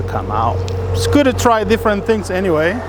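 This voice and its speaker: Noticeable background noise surrounds a man speaking with a Spanish accent. His pitch swings very widely. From El Salvador. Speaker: YouTuber. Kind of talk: casual vlog narration. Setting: outdoors in a garden. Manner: halting, many fillers.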